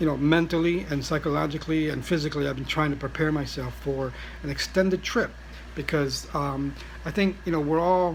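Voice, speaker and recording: Noticeable background noise is present throughout. The words come at a fairly quick pace. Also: man. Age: 60s. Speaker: vlogger, traveller with cancer. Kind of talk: casual vlog monologue. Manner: halting, many fillers.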